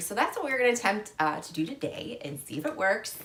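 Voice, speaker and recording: Over noticeable background noise and audible room echo, a woman talks at a fairly quick pace with very wide pitch swings. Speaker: fashion and handbag vlogger. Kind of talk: tutorial.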